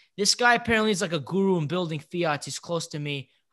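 The tone is bright and sharp. The background is quiet. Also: man. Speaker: car enthusiast podcast host. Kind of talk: casual podcast chat. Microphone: studio mic.

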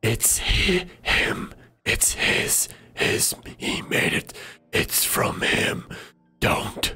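In a put-on character voice, a raspy man talks at a very slow pace with long, frequent pauses. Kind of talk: horror game master voice. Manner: fragmented, confused, halting.

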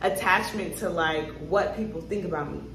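Light background noise along with audible room echo. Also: woman. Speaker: lifestyle vlogger. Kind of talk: casual vlog chat. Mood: reflective, talks about grief. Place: home room. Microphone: phone near.

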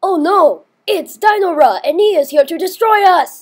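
This is a cartoonish character voice, pitched extremely high. The pace is moderate. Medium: puppet. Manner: panicked, shouting.

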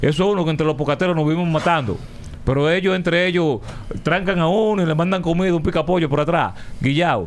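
This man talks at a very fast pace with a Dominican accent. His pitch is high. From Dominican Republic. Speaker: radio host. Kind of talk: casual chat. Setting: studio. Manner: animated. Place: studio. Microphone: studio mic.

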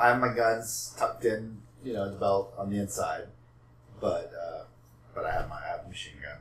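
A man in a whiny, put-on character voice, with big swings in loudness, long, frequent pauses and a moderate pace. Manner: sad, glum, whiny.

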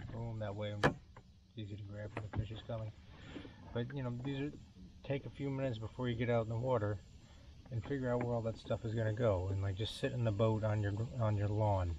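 Mumbling and somewhat breathy, a man talks at a very fast pace with long, frequent pauses, a fairly low pitch and fairly even intonation, in a dry sound with no echo over noticeable background noise. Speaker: weekend kayak angler. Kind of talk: casual talk to camera. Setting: outdoors, on the water, low-quality camera mic. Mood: relaxed, friendly. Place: boat. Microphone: camera far.

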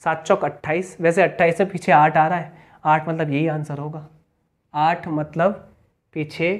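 This man talks at a fairly slow pace in a monotone, flat delivery. His pitch sits fairly high. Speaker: maths teacher. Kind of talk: lecture.

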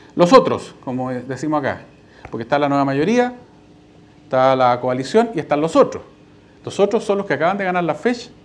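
Fairly quick speech in a Chilean accent, with very wide pitch swings. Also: man. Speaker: party official. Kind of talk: lecture. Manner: conversational, frequent fillers. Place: hall. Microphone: lapel.

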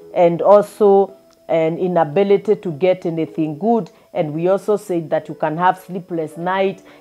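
A woman speaks at a moderate pace with a fairly low pitch, fairly even intonation and a dark, mellow tone. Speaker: preacher. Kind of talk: sermon. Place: home room. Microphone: lapel.

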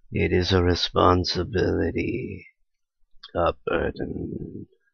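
A man puts on a character voice with a very deep, low pitch. He speaks at a very slow pace. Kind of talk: comic dub reading. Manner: grave, solemn.

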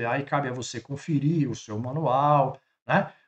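The man's voice is somewhat breathy. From Brazil. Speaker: travel trailer channel host. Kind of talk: explainer video. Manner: animated; halting. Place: home room. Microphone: webcam.

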